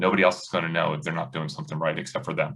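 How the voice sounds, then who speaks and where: Loud and full of vocal fry, a man swings his pitch very widely in an American accent. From US Northeast, South Jersey. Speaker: high school basketball coach. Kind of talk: podcast interview.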